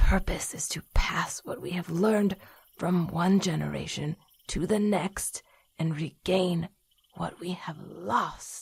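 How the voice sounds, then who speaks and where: A put-on character voice moves at a fairly slow pace with a middle pitch. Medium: audio drama. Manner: stern, instructive.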